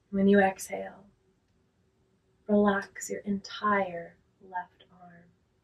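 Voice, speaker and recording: Very slow, monotone, flat delivery with long, frequent pauses. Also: woman, medium pitch for a woman. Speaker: yoga teacher. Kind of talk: guided relaxation. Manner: slow, calm, with long pauses.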